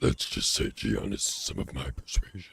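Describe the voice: In a put-on character voice, a man sounds strained, pitched very deep and low, at a moderate pace.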